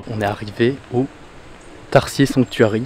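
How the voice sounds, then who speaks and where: A man with an unremarkable speaking voice talks at medium pitch with fairly even intonation. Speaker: travel vlogger. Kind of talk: casual vlog chat.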